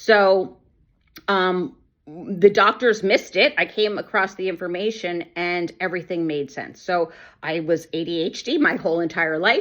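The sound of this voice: Speaking at a fairly slow pace, the woman has a fairly low pitch, ordinary pitch variation and a fairly bright tone.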